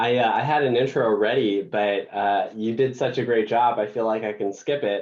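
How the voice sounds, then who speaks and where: With a Canadian accent, a man in a plain, everyday voice speaks at medium pitch and a moderate pace. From Canada. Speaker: patient advocate, cancer survivor. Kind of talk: presentation.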